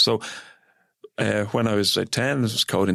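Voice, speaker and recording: A man with an Irish accent and a fairly low pitch, dry and close with no echo, in a very clean recording with a silent background. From Ireland. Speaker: software engineering executive. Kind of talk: radio interview.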